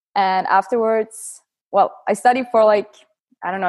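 A woman with a normal speaking voice talks at a medium pitch with ordinary pitch variation, the sound dry and close with no echo. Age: 20s. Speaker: calisthenics athlete. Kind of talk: interview.

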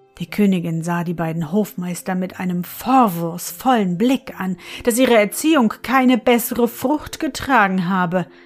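With lively intonation and hardly any pauses, this is an unremarkable speaking voice. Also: woman, medium pitch for a woman. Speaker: fairy-tale podcast narrator. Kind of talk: bedtime story reading aloud, scripted narration. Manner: soft, calm, slow and soothing; gentle storyteller, warm and lulling.

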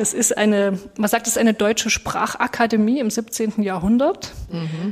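Against noticeable background noise, a woman with a Saxon accent speaks at a fairly high pitch. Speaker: pastor, podcast co-host. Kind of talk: podcast discussion.

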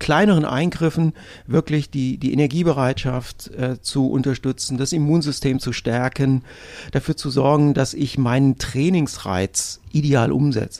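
A man speaks at a moderate pace in a fairly high pitch with ordinary pitch variation. It is an ordinary speaking voice. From northern Hesse, Germany. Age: 50s. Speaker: sports nutrition expert. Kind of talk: interview. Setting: studio.

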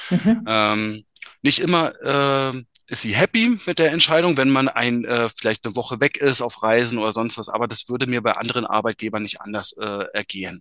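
The man's voice has a bright, sharp tone at a medium pitch with ordinary variation. He speaks at a moderate pace, and the sound is dry and close with no echo. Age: 30s. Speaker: business successor in family firm. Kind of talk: interview. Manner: hesitant, many filler sounds.

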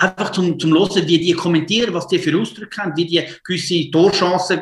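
A man with a high pitch talks at a fairly quick pace, keeping his intonation fairly even. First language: Italian or Swiss German (speaking German). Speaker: football coach. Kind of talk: casual interview. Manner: halting.

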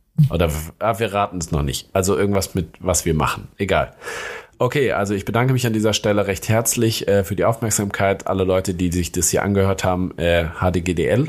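A man talks in a plain, everyday voice. His pitch sits fairly low, with ordinary pitch variation. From Hesse, Germany (Darmstadt area). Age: 30s. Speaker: junior doctor. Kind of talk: casual chat.

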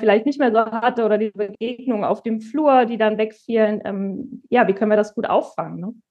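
A woman speaks at a moderate pace with a fairly high pitch and ordinary pitch variation. It is an unremarkable speaking voice. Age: 30s. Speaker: department head in healthcare. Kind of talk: interview.

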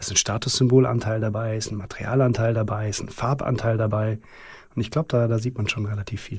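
Very fast and monotone, a man speaks with flat intonation in a somewhat breathy voice of medium pitch. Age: 40s. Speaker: luxury watch company CEO. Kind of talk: interview conversation. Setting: company podcast studio. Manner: fluent, articulate.

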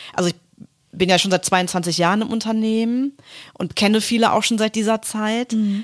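Her voice is fairly high and comes in a normal speaking voice. The woman keeps a moderate pace with fairly even intonation. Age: 40s. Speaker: corporate communications manager. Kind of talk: casual interview. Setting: office.

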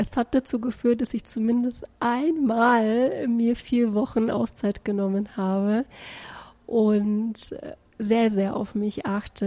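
Dark and mellow, the voice carries a somewhat breathy quality. Its intonation remains fairly even. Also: woman. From Bulgaria. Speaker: executive recruiter. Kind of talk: casual testimonial.

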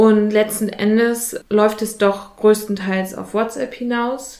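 A woman with a fairly high pitch talks at a fairly slow pace over noticeable background noise. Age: 20s. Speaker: youth participation facilitator. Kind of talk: casual interview. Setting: in an office.

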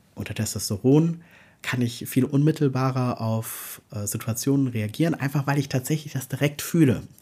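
A man's medium-pitched voice at a moderate pace, dark and mellow in tone, somewhat breathy, with ordinary pitch variation. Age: 40s. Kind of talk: interview testimony. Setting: video call.

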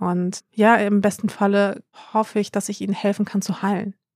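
Moderate pace and medium pitch from a woman, recorded very cleanly against a silent background with a dry, close sound and no echo. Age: 30s. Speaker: influencer. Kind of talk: casual chat.

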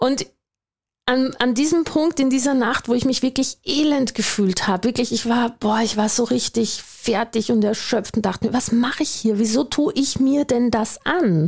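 High-pitched female speech, rather unhurried, with typical rises and falls in pitch. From Austria. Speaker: business coach, podcast host, former doctor. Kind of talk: motivational monologue.

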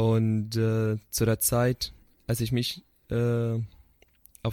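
A man with an Arabic accent talks at a fairly low pitch in a dark, mellow tone. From Syria. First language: Arabic (speaking German). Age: 20s. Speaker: psychotherapy student. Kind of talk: interview. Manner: halting.

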